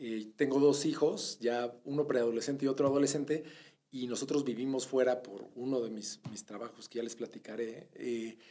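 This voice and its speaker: A man speaks at a moderate pace in a medium pitch with a dark, mellow tone, fairly even intonation and big swings in loudness. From Mexico (born in Bogotá, Colombia, moved as a child in the mid-80s). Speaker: retail executive. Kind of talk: interview.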